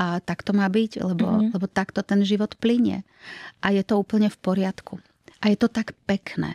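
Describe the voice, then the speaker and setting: A woman speaks at a medium pitch in a somewhat breathy, dark, mellow voice, her intonation monotone and flat, her loudness very even, with a dry sound with no echo and a quiet background. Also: moderate pace. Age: 50s. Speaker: actress. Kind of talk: interview. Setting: studio. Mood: warm, reflective. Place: studio. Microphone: studio mic.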